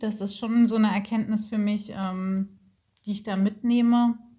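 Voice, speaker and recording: Speaking at a fairly slow pace, a woman keeps a fairly high pitch in a flat, monotone delivery. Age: 30s. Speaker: coaching client. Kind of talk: interview.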